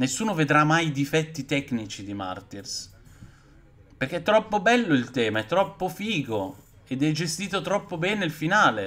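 A man's animated tone with vocal fry, fairly high pitch, very wide pitch swings and a moderate pace. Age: 40s. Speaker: horror film youtuber; streamer, film reviewer. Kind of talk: live stream film review chat; casual live-stream chat. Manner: halting. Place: home room. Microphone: webcam.

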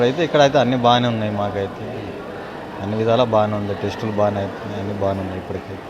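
Amid noticeable background noise, a man speaks in a fairly low pitch with fairly even intonation. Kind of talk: interview answer.

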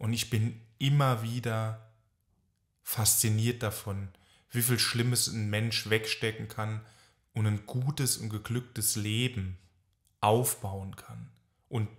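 A man talks with fairly even intonation in a somewhat breathy voice. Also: very clean recording, silent background. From France, German family. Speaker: psychotherapist. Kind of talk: casual chat.

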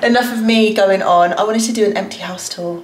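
A woman talks at a fairly quick pace. Audible room echo and light background noise surround her voice. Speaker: vlogger. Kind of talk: casual vlog chat. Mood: excited, a bit anxious. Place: home room. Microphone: phone near.

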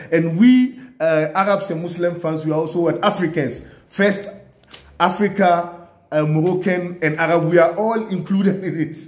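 Audible room echo surrounds a man speaking at a moderate pace in a high pitch. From Ghana. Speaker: sports video commentator. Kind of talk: solo video commentary. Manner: animated. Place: home room. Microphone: phone near.

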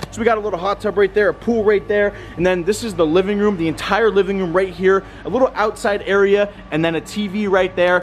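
A man's high voice at a very fast pace, with faint music in the background. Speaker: vlogger. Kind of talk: casual vlog chat. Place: garden. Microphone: phone near.

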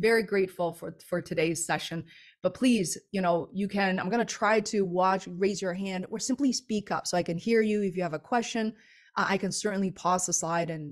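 With a quiet background, a woman talks at a moderate pace and ordinary pitch variation. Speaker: webinar presenter. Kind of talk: webinar presentation.

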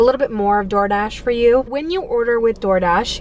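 A woman with ordinary pitch variation, in a dry sound with no echo and light background noise. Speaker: delivery driver vlogger. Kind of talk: casual vlog chat. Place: car. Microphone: phone near.

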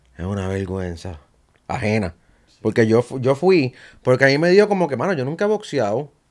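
At a moderate pace over a quiet background, the voice makes very wide pitch swings and big swings in loudness. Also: man. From Puerto Rico. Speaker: podcast host; podcast guest. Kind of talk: casual interview chat. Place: studio. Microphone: studio mic.

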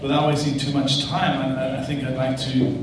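A man is speaking with noticeable background noise. Strong echo fills the room. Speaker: panel moderator. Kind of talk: panel moderation introduction. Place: hall.

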